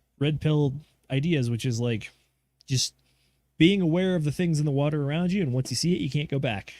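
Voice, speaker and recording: A man speaks at a fairly quick clip in a dark, mellow tone, his pitch fairly high and his intonation lively. The recording is very clean, with a silent background. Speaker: livestream co-host reading chat. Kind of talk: casual livestream chat. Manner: fast.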